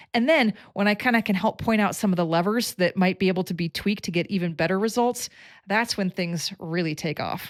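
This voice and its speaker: In an ordinary speaking voice, a woman talks at a fairly quick pace with lively intonation and medium pitch, recorded very cleanly against a silent background with a dry, close sound and no echo. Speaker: coach who analyzes people's talents. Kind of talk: direct-to-camera explainer.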